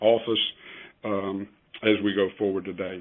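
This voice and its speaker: The speaker is a man with an American accent. His pace is moderate. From West Virginia, Huntington. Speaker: accountant and financial planner. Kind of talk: presentation on a conference call. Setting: conference call. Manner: halting with many fillers.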